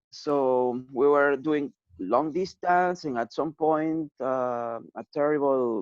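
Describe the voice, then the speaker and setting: A man at a very slow pace, fairly high in pitch, with ordinary pitch variation. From Cusco, Peru. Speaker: audiovisual artist, musician. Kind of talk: interview answer.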